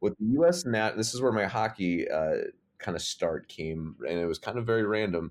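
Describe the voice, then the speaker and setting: A man with a plain, everyday voice and an American accent, lively intonation, on a very clean recording with a silent background. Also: fairly low pitch for a man, moderate pace. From Michigan (Detroit suburbs), also Massachusetts. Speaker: college sports creative/brand staffer. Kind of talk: casual interview.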